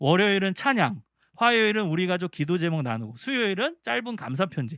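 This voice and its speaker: Very wide pitch swings mark this man's fairly quick delivery. The sound is dry and close with no echo, in a very clean recording with a silent background. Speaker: professor. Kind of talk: lecture. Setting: seminar for church teachers. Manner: fast.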